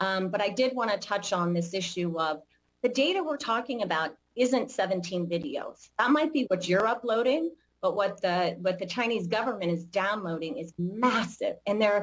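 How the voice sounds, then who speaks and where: Lively intonation and a moderate pace come through in a slight Alabama accent. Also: woman, medium pitch for a woman. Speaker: technology policy expert. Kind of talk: panel discussion. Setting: video call.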